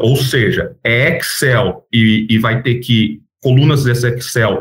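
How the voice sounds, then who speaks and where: A man's somewhat breathy voice at a medium pitch. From Brazil, Campinas area (São Paulo state). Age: 40s. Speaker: startup founder and CEO. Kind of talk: interview.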